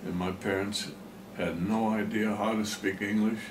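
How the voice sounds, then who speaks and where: Speaking at a fairly slow pace in a flat monotone, a man with a German accent is heard over noticeable background noise and audible room echo. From Pennsylvania, US. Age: 90s. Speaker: farmer. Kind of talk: oral history interview. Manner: halting.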